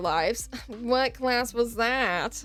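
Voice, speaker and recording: Vocal fry runs through this woman's fairly high voice. Her intonation stays fairly even. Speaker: streamer. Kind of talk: casual chat. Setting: live art stream.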